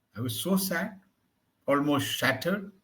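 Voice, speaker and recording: A man speaks at a fairly slow pace. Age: 60s. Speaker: English tutor. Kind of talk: one-on-one language lesson, conversational.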